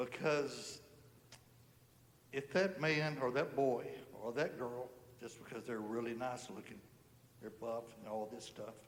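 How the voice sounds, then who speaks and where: Audible room echo surrounds a man with an American accent, speaking at a fairly slow pace with long, frequent pauses. His pitch is medium, with ordinary pitch variation and big swings in loudness. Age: 60s. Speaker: churchgoer giving testimony. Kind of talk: testimony. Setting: church service.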